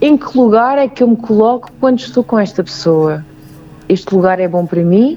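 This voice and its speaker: A woman at medium pitch with a European Portuguese accent and very wide pitch swings, amid noticeable background noise. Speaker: singer and belly dancer sharing bullying experience. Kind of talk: interview testimony. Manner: halting.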